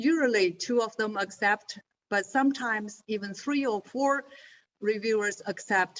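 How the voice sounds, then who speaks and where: A woman with a non-native accent talks at a fairly slow pace. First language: not English. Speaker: journal associate editor. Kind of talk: webinar presentation. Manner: halting, many fillers.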